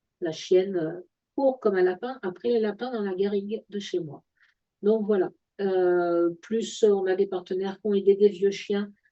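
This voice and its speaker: A woman at a medium pitch, with fairly even intonation and a fairly slow pace. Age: 60s. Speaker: wellness product presenter. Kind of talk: product presentation. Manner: halting, many hesitations.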